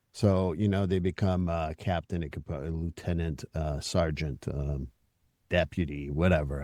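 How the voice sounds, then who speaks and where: In a very clean recording with a silent background and a dry, close sound without echo, a man talks at a moderate pace in a dark, mellow tone. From Quebec, Montreal. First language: French. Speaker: therapist and podcast host. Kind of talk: podcast interview.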